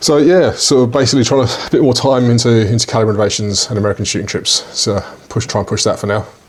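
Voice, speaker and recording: Over noticeable background noise, a man with a British accent talks at a very fast pace. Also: medium pitch for a man, ordinary pitch variation. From UK. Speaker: podcast co-host, shooting business owner. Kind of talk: casual podcast chat. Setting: studio with microphones.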